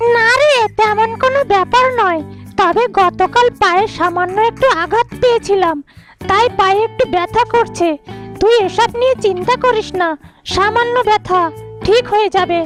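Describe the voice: A cartoonish character voice at an extremely high pitch, with faint music playing in the background. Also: moderate pace.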